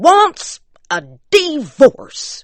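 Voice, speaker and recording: The speaker puts on a character voice in an Appalachian accent. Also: female-sounding voice. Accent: rural Appalachian dialect. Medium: read story. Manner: blunt, insistent.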